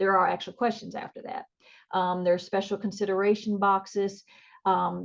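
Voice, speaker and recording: Against a quiet background, a woman speaks with an American accent. Her pitch sits in the medium range. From northern US. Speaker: nursing educator. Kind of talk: conference presentation. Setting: video call.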